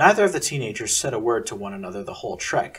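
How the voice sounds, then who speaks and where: Vocal fry runs through this man's fairly high voice. He talks fairly quickly with very wide pitch swings. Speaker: narrator of own serialized story. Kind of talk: read story narration.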